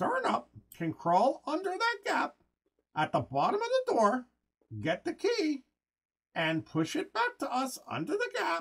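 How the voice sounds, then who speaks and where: A man uses a put-on character voice pitched extremely high. He speaks fairly slowly, leaving long, frequent pauses. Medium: read story. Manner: calm, resourceful.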